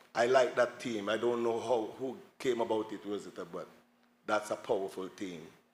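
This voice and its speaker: The speaker has a Montserratian accent and talks at a moderate pace. Pitch varies in an ordinary way while loudness swings widely. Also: man, medium pitch for a man. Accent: Montserratian Caribbean English. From Montserrat, village of Saint Patrick's. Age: 60s. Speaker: tour guide. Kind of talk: panel talk.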